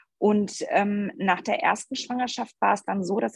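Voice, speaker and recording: A woman speaks at a moderate pace and medium pitch with lively intonation and vocal fry. The sound is dry and close, with no echo. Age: 40s. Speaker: mother and athlete testing a course. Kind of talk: casual interview.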